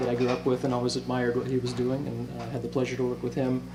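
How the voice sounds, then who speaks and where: Someone with an American accent talks at a very fast pace amid noticeable background noise and audible room echo. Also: man. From US Pacific Northwest, Bellingham, Washington. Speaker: singer-songwriter. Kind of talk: interview. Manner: soft-spoken; halting. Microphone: too far from the mic.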